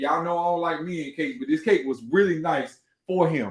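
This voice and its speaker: This man's voice is loud and high-pitched. His tone is animated. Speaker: podcast host and cake baker. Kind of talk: casual livestream monologue.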